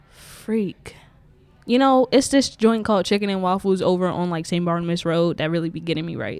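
Moving at a fairly quick pace, a woman with an unremarkable speaking voice talks at a medium pitch with ordinary pitch variation. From Prince George's County, Maryland (DC area). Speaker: photographer and studio manager. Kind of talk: casual interview. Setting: pop-up podcast at a creative office.

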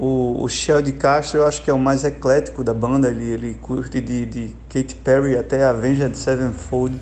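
A man at a moderate pace with hardly any pauses, amid noticeable background noise. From Pernambuco, Brazil. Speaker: rock band musician. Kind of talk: interview. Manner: casual, hesitant with repetitions.

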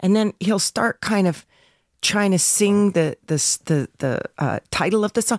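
A woman with an unremarkable speaking voice talks at a fairly slow pace and medium pitch, with ordinary pitch variation and very even loudness, on a very clean recording with a silent background. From Canada. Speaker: voice actor's wife. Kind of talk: casual chat.

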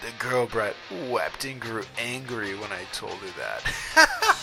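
A man puts on a character voice at a fairly slow pace. Clear background noise runs underneath. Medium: read story. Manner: ranting, gloating, cackling.

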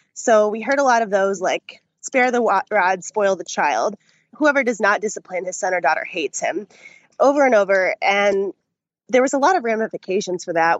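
A woman with a plain, everyday voice speaks at a fairly high pitch and moderate pace, her intonation lively. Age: 20s. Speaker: caller. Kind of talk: testimony. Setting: video call.

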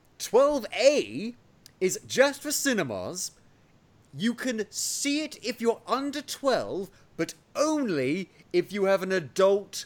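A man with a southern English accent speaks at a very slow pace in a high pitch, with very wide pitch swings. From England, Oxfordshire. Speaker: podcast host. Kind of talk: casual chat.

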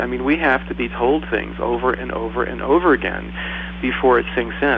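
A man's fairly quick speech is heard against noticeable background noise. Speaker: medical doctor. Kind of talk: panel discussion.

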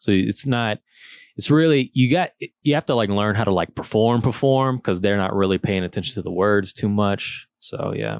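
On a very clean, dry, close recording with a silent background and no echo, a man with a Louisiana accent speaks at a moderate pace, fairly low in pitch, with ordinary pitch variation. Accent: Southern US (Louisiana). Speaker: comedian. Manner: laid-back.

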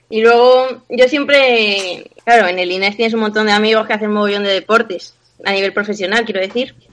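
This is a woman with an ordinary speaking voice, fairly high in pitch. Her intonation stays fairly even. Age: 20s. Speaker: personal trainer. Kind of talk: interview.

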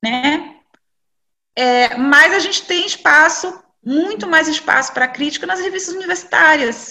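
Her raised, projected voice is high in pitch with lively intonation as this woman talks at a fairly slow pace. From Brazil, Salvador (Bahia). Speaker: journalist and library director. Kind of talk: interview. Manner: hesitant, many fillers.

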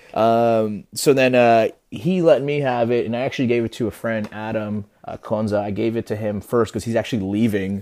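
With an American accent and an unremarkable speaking voice, a man talks at a moderate pace with ordinary pitch variation. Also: medium pitch for a man, hardly any pauses. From New Jersey, US (Peruvian family). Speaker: watch industry professional and influencer. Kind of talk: casual interview chat. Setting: remote call.

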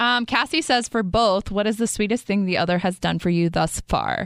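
A woman with a fairly high pitch speaks at a moderate pace in an unremarkable speaking voice, her loudness very even. The sound is dry and close with no echo, on a very clean recording with a silent background. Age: 30s. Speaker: faith podcast host. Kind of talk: casual chat.

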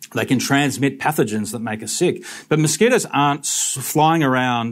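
A man's medium-pitched voice with an Australian accent at a moderate pace, on a very clean recording with a silent background. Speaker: mosquito researcher. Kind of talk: talk to a live audience.

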